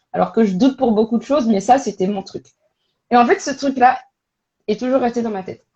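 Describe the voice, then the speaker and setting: Loud, animated woman's voice, high-pitched with lively intonation and long, frequent pauses. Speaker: career coach and recruitment expert. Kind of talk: casual interview on a live stream. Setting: online live stream. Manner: animated, hesitant with many fillers.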